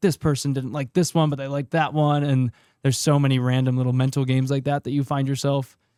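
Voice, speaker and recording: A man talks very fast in a fairly high pitch with a monotone, flat intonation. The sound is dry and close, with no echo. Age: 20s. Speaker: podcast producer. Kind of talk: casual chat.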